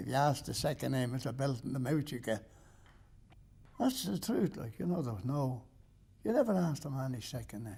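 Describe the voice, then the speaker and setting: This man, with an Irish accent, has a medium pitch and a dark, mellow tone with vocal fry. He talks at a fairly quick pace with lively intonation, broken by long, frequent pauses. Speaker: interviewee. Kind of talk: interview.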